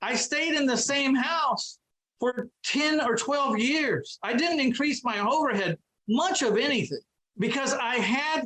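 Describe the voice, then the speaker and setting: A man's animated voice with lively intonation. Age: 60s. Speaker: real estate investor. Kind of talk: podcast interview.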